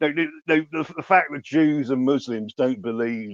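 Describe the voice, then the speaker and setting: A man speaks with a southern English accent. The sound is dry and close, with no echo. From southern England, Ascot in Berkshire. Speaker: journalist. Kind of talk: debate. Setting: online audio space. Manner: halting, many repetitions and false starts.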